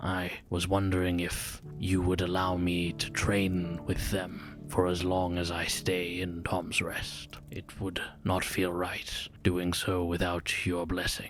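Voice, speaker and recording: Over clear music in the background, a man uses a put-on character voice with a very deep, low pitch, a monotone with flat intonation and a fairly slow pace. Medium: actual play. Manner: formal, grave.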